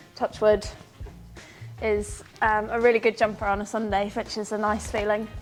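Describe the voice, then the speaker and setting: With music playing in the background, a woman with a Northern Irish accent speaks at a moderate pace and a fairly high pitch. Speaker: event rider. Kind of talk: casual interview.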